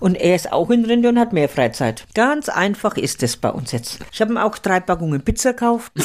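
A woman speaks at a moderate pace with hardly any pauses. Her medium-pitched voice shows very wide pitch swings. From Franconia, Germany. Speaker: podcast co-host, retiree. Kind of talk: casual chat. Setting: home, farmhouse-style room.

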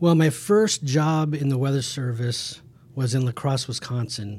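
In a very clean recording with a silent background, a man speaks at a fairly slow pace. His voice is somewhat breathy, with ordinary pitch variation. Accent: Midwestern American. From Kansas (Emporia). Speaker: hydrologist. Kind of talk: casual interview.

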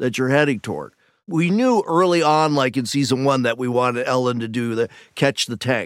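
In a very clean recording with a silent background, a man uses a normal speaking voice at medium pitch, with ordinary pitch variation and a moderate pace. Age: 60s. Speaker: television writer. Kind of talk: casual interview chat.

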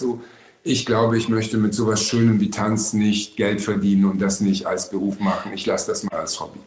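A man with a fairly low pitch talks fairly quickly in a monotone, flat intonation, and background noise is noticeable. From Berlin. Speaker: actor. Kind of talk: casual chat.

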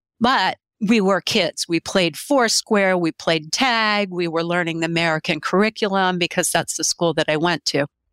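Talking in a plain, everyday voice, a woman speaks at a moderate pace in a fairly low pitch with ordinary pitch variation, hardly any pauses, very even loudness and a dry, close sound with no echo. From grew up overseas, born in Pennsylvania. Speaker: business owner in translation services. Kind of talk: interview conversation.

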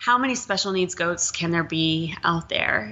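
A woman with an American accent, medium pitch, lively intonation, a moderate pace and vocal fry. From Texas. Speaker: animal sanctuary founder. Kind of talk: interview conversation. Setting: host's apartment, at a table.

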